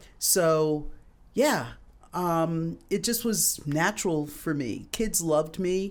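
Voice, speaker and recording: The pace is very slow. The recording is very clean, with a silent background. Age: 60s. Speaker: addiction therapist and clinical director. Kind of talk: podcast interview. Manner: hesitant, many fillers.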